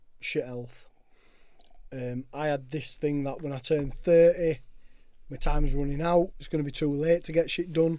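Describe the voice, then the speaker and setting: In a Yorkshire accent, a man speaks with a dark, mellow tone at a fairly high pitch and a moderate pace, with fairly even intonation. His loudness swings widely, and he leaves long, frequent pauses. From northern England, Castleford, West Yorkshire. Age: 30s. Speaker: sobriety movement founder. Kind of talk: casual chat. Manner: emphatic.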